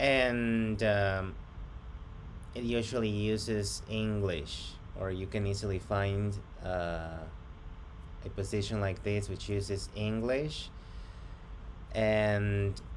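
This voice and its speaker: A man speaks at a very slow pace with long, frequent pauses. His pitch sits fairly low, and the room echo is audible. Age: 30s. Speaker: job applicant. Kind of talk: job interview. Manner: hesitant.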